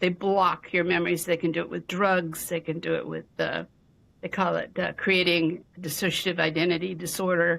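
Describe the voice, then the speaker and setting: A woman's fairly low, monotone voice with flat intonation and vocal fry. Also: moderate pace, very clean recording, silent background. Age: 70s. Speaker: physician and abuse survivor. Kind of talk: interview testimony. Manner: halting, with frequent fillers and repeats.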